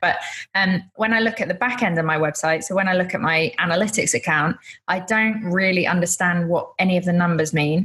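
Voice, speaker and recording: Fairly even intonation runs through the speech. The voice is heard with a British accent. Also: woman. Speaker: photographer. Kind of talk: interview.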